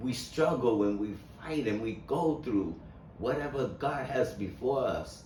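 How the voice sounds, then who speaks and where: At a fairly slow pace, a man speaks with ordinary pitch variation amid audible room echo. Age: 70s. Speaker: motivational speaker on mental health. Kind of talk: inspirational monologue. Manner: halting, with repeated words.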